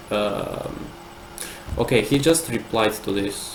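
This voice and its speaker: A man speaks with a non-native accent. Background noise is noticeable. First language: not English. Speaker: live streamer. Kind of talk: live stream chat reading and commentary. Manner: halting, many repeated words.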